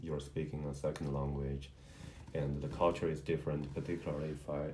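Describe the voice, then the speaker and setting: A man's very deep, low voice with a Chinese accent, dark and mellow in tone and somewhat breathy, at a fairly quick pace with audible room echo. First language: Mandarin. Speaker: husband of channel host. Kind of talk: casual interview chat. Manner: halting, with fillers.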